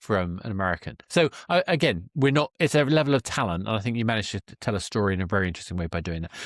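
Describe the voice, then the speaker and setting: A man with a British accent talks at a very fast pace, at a fairly low pitch, with very wide pitch swings and big swings in loudness. The recording is very clean, with a silent background and a dry, close sound with no echo. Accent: British, classic BBC-style. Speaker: podcast host. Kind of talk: interview.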